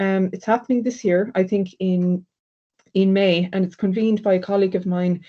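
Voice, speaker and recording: Against a quiet background, a woman with a dark, mellow tone speaks at medium pitch and a moderate pace. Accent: Irish. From Ireland. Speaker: sociology lecturer. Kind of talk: academic presentation. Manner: hesitant with fillers.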